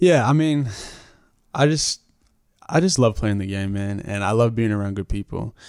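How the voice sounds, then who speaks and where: A man with an American accent at a fairly quick pace, ordinary pitch variation, in a very clean recording with a silent background and a dry, close sound with no echo. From Brisbane, Queensland, Australia. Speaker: basketball player. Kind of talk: casual interview chat.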